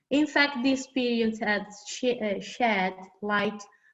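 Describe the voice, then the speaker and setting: At a very slow pace, a woman speaks with a fairly high pitch, ordinary pitch variation and a non-native accent. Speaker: academic panelist. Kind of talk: reading aloud. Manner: halting.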